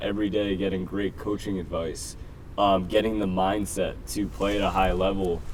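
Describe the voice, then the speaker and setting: A man with a New Jersey accent talks at a moderate pace, his fairly low pitch and fairly even intonation carried by audible room echo. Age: 20s. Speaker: football coach. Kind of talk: interview.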